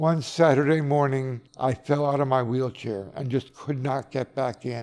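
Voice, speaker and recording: Over noticeable background noise, a man with an American accent speaks at a fairly slow pace, medium pitch and fairly even intonation. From New York, Dutchess County. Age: 70s. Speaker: nursing home resident. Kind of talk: interview. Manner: reflective, halting.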